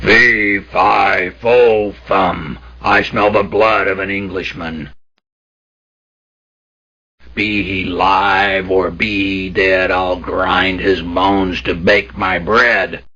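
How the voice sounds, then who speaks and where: A loud, bellowing put-on character voice from a man, very deep and low in pitch, at a very slow pace. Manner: angry, menacing.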